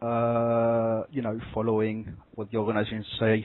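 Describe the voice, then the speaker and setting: A man with a French accent talks at a medium pitch. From France. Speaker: caller. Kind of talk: phone call conversation. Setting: phone call. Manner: halting, many fillers.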